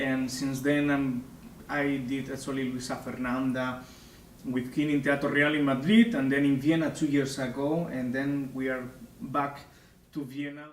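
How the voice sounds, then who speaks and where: Through audible room echo, a man with a Spanish accent talks at a fairly high pitch with fairly even intonation. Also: moderate pace. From Spain. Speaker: opera singer. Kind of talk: interview. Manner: halting.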